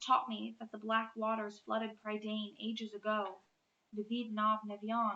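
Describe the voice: Text read aloud plainly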